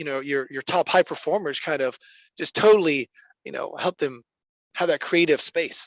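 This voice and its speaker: Against a quiet background, a man with a fairly high pitch uses a plain, everyday voice at a moderate pace, with ordinary pitch variation and a dry, close sound with no echo. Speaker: podcast host. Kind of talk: podcast interview question.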